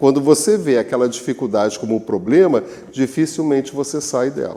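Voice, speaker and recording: At a moderate pace, a man speaks with a dark, mellow tone, a medium pitch and lively intonation. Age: 70s. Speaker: spiritist lecturer. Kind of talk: lecture.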